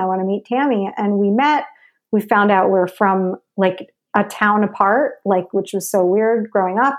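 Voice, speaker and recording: A woman with a normal speaking voice and an American accent, medium pitch, ordinary pitch variation and a moderate pace. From New York (Westchester suburbs). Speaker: actress and filmmaker. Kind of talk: casual interview chat.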